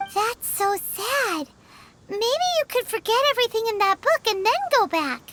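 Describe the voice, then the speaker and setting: Using a put-on character voice, the speaker goes extremely high in pitch at a moderate pace. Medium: video game. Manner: calm, practical.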